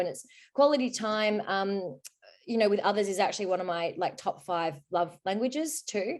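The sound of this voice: A woman speaks at a moderate pace and medium pitch, with ordinary pitch variation and a slightly mellow tone.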